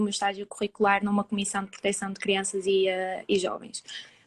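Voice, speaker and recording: Moderate-paced speech from a woman, fairly high in pitch. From northern Portugal (Famalicão). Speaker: psychology student. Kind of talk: interview. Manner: halting.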